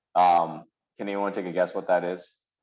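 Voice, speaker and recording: The speaker is a man. His pace is moderate. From South Korea, then moved to US at sixteen. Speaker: lecturer and investor. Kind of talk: lecture. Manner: casual, many fillers and restarts.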